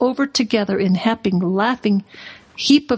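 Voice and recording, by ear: The pitch varies in an ordinary way while a natural voice reads aloud.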